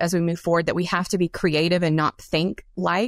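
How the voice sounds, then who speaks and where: A woman talks at a fairly quick pace in an unremarkable speaking voice with fairly low pitch. The sound is dry and close with no echo, on a very clean recording with a silent background. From US South, South Carolina. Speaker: dairy science professor. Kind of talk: interview.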